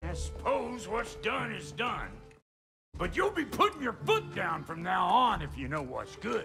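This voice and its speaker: Over faint background music, a gruff, put-on character voice speaks at a moderate pace. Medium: video game. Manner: gruff, crude, blunt.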